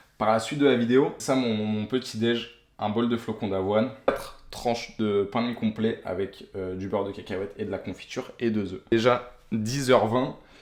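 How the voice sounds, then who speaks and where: A man's medium-pitched voice at a moderate pace, with hardly any pauses, fairly even intonation and noticeable background noise. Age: 20s. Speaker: aspiring triathlete vlogger. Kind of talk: vlog. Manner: casual.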